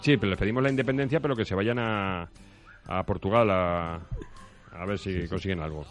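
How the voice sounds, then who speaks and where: A man with a fairly low pitch talks at a fairly quick pace with lively intonation. Long pauses come often. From Ávila province, Castile, Spain. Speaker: radio contributor and columnist. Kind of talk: casual radio chat.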